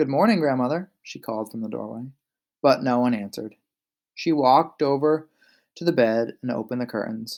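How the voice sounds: Silence all around a natural reading voice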